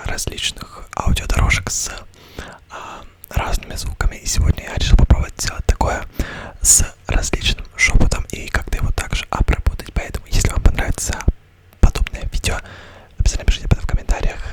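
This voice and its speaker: A man whispers at a fairly quick pace, with long, frequent pauses and big swings in loudness. Noticeable background noise is present. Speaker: ASMR creator. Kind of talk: casual ASMR video intro to camera. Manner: whispered.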